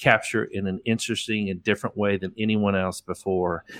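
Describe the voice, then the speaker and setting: Over a very clean recording with a silent background, a man speaks fairly quickly in a fairly low pitch with a bright, sharp tone, monotone, flat intonation and a dry, close sound with no echo. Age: 50s. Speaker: landscape photographer. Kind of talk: casual interview.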